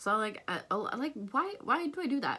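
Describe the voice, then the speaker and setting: Moving at a moderate pace, a woman speaks in a bright, sharp tone with very wide pitch swings. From outside North America. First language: not English. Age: young. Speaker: vlogger. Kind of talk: casual vlog monologue. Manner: halting, many fillers and repetitions.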